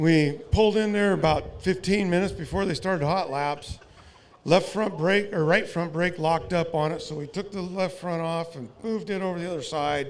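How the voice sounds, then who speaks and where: In an American accent, a man with a high pitch speaks at a moderate pace with fairly even intonation. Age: 60s. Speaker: race car driver and team owner. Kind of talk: interview.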